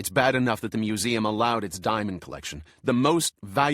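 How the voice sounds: Someone reads in a natural reading voice whose pitch shifts by ordinary amounts.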